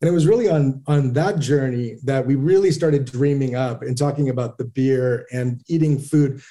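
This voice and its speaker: A man speaks at a moderate pace with hardly any pauses. His fairly high voice has a dark, mellow tone and ordinary pitch variation. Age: 40s. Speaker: brewery founder and CEO. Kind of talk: interview.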